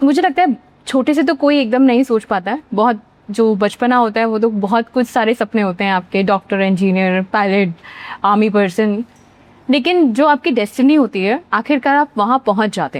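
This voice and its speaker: In a dry, close recording with no echo, a woman with an unremarkable speaking voice talks at a moderate pace, her fairly high pitch moving in lively intonation. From central India, Bhopal, Madhya Pradesh. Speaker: actor. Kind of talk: interview.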